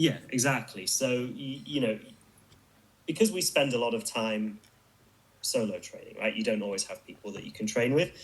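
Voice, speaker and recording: In a British accent, a man with a medium pitch talks at a moderate pace with lively intonation and long, frequent pauses. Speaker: martial artist, kung fu video maker. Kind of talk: casual interview.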